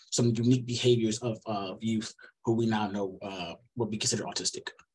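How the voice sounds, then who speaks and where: A somewhat breathy man with fairly even intonation. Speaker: researcher giving seminar talk. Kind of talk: lecture. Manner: fast.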